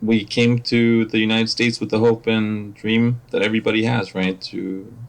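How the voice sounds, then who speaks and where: A man with a Spanish accent, medium pitch and a moderate pace. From Mexico. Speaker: operations manager. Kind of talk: podcast interview. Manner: halting, many fillers and repetitions.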